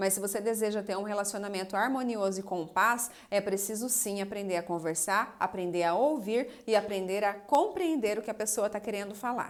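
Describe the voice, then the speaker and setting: This woman has an ordinary speaking voice, medium in pitch with ordinary pitch variation, moving at a moderate pace with hardly any pauses. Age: 30s. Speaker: psychoanalyst and relationship coach. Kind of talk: live stream talk answering viewer comments. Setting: Instagram live video.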